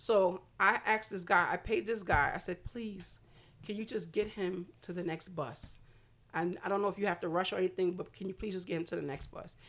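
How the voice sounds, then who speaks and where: With an American accent, a woman speaks in an ordinary speaking voice at medium pitch, with ordinary pitch variation and a fairly quick pace. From Brooklyn, New York, Haitian family. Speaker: non-profit founder. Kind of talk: casual chat.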